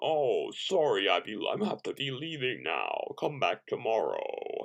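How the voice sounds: The pace here is fairly slow. It is delivered in a put-on character voice. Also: man.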